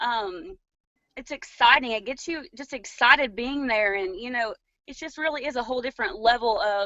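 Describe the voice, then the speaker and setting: A woman's high-pitched voice at a moderate pace, with ordinary pitch variation and big swings in loudness. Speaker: direct sales distributor. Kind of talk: panel discussion.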